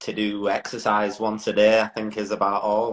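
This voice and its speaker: A man with an English accent, medium pitch and a moderate pace. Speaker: motorcycle road racer. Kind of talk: casual interview. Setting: social media live video.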